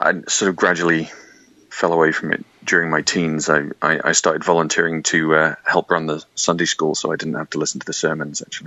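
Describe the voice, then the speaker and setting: In a British accent, a man speaks with a very deep, low pitch and monotone, flat intonation. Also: fairly quick pace. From Yorkshire, England. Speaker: public health specialist and debater. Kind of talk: interview. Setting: video call. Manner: hesitant, many fillers.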